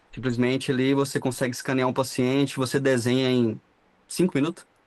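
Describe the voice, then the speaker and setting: A man speaks at a fairly quick pace in a monotone, flat voice. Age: 20s. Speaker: dental radiologist, 3D printing specialist. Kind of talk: casual podcast interview.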